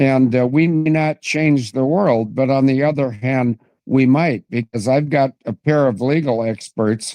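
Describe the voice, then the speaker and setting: A man's dark, mellow tone at a fairly slow pace. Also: dry, close sound with no echo. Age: 70s. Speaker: political commentator guest. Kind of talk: interview, casual chat. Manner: halting.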